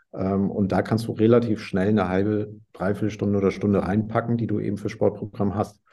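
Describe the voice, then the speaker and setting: A man talks at a fairly low pitch with a dark, mellow tone. His intonation is monotone and flat, his pace fairly quick. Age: 40s. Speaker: entrepreneur in sales. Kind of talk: interview.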